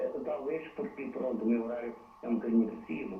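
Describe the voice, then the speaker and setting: There is audible room echo. Noticeable background noise runs through the recording. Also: man. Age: 60s. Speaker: caller, hotel worker. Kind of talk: phone-in call to TV program. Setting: phone call.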